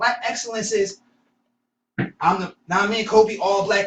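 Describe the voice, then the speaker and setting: A man talks loudly at a high pitch, his pitch varying in an ordinary way. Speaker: podcast co-host. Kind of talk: casual discussion.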